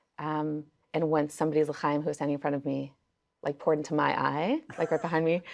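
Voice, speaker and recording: Against a quiet background, a woman with a New York accent talks at a very fast pace in a very deep, low pitch with monotone, flat intonation. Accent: New York American English. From Crown Heights, Brooklyn, New York. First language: Yiddish. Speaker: singer and nigun circle facilitator. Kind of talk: casual interview conversation. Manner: conversational with many fillers.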